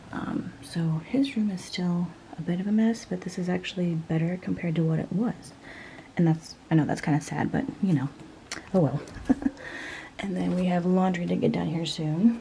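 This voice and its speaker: Soft-spoken and fairly low in pitch, a woman talks at a moderate pace with ordinary pitch variation and long, frequent pauses. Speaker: cleaning and mom vlogger. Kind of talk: vlog narration. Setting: at home. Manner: quiet, soft-spoken; casual, hesitant with fillers.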